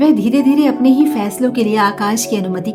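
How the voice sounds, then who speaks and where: A woman's calm tone and lively intonation over music in the background. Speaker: poet, storyteller, voiceover artist. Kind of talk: emotional story narration. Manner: calm, reflective.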